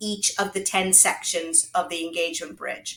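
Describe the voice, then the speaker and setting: A woman speaks at a medium pitch. It is an unremarkable speaking voice. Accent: American. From United States. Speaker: HR consultant and author. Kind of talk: interview.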